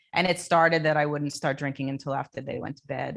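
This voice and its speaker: Speaking at a fairly quick pace, a woman with an American accent keeps a fairly even intonation. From New Jersey (Jersey Shore). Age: 50s. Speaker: coaching client sharing recovery story. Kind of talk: panel interview testimony. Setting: conference stage panel.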